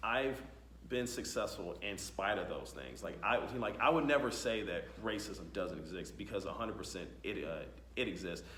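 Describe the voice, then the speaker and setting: A man talks at a moderate pace in a space with audible room echo. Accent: American. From US. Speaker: talk show host. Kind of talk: casual interview chat. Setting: tech conference. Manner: halting, many fillers.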